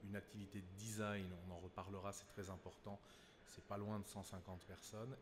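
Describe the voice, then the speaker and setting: The somewhat breathy voice moves at a fairly quick pace, with audible room echo. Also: man. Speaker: consulting company executive. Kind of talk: conference panel talk.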